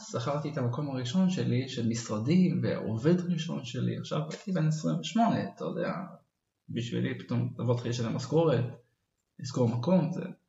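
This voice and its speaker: A man at a moderate pace with very wide pitch swings and long, frequent pauses, in audible room echo. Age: 30s. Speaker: nature photographer and entrepreneur. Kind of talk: interview.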